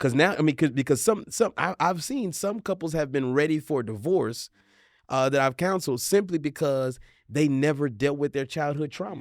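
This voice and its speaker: Recorded very cleanly over a silent background, a man talks at a moderate pace in a fairly high pitch with ordinary pitch variation. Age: 40s. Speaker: marriage counselor and couples show host. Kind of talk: casual panel discussion. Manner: halting, many repeated words.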